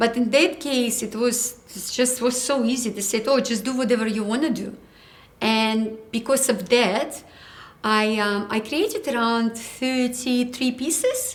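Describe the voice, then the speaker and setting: A woman speaks in a high pitch at a fairly slow pace with ordinary pitch variation. There is audible room echo. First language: not English. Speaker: ceramic artist. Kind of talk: interview.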